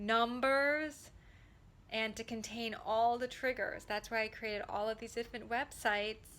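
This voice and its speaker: With a bright, sharp tone and fairly even intonation, a woman speaks at a fairly high pitch. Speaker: former special education teacher and trauma advocate. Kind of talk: personal testimony to camera. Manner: deliberately slow.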